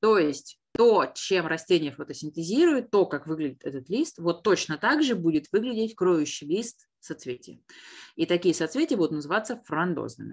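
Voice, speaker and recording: Fairly low-pitched woman, lively intonation, moderate pace, quiet background. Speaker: botany teacher. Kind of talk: online lesson. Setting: video call. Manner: animated.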